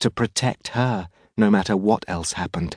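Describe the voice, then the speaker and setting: A man talks at a fairly slow pace with ordinary pitch variation against a quiet background. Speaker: audiobook narrator. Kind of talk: dramatic thriller audiobook narration. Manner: hushed, tense, slow-paced suspense narration.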